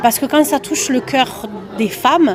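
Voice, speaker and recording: A woman speaks with a southern French accent and ordinary pitch variation, with noticeable background noise behind her. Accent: southern French (Toulouse). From southern France, Toulouse. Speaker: comedian. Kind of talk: interview.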